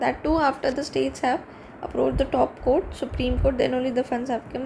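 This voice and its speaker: Over noticeable background noise, a woman speaks at a high pitch with fairly even intonation. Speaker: exam aspirant reviewing newspaper. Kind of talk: reading aloud with commentary. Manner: halting.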